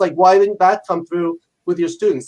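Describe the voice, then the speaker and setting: A loud man with an American accent, high-pitched, talking at a very fast pace with ordinary pitch variation. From New York. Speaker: leadership professor and author. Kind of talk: interview.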